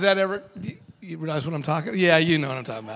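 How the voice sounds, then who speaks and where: A man speaks with an American accent. His voice is raised and projected. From US West Coast (Washington State, California). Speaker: seminary professor and youth ministry speaker. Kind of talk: parenting seminar talk. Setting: church hall with live audience. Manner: fast; animated.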